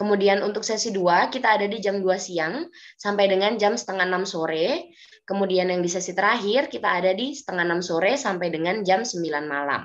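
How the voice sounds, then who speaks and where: A woman talks at a fairly quick pace, her pitch shifting in an ordinary way. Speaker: German language teacher; presenter. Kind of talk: webinar presentation. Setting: video call. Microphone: video call.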